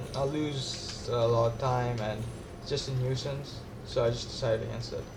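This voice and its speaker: A medium-pitched man talks with fairly level intonation, with room echo and clear background noise around him. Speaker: gaming youtuber. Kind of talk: let's play commentary. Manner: casual, halting with fillers.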